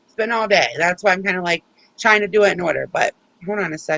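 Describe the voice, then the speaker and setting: A woman talks at a fairly quick pace with a medium pitch and a bright, sharp tone. The sound is dry and close, with no echo. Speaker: youtuber. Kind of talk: livestream chat. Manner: animated.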